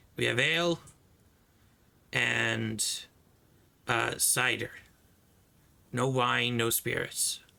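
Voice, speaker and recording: A man uses a raspy, put-on character voice at a very slow pace, leaving long, frequent pauses. His loudness stays very even throughout. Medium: actual play. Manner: gruff, curt.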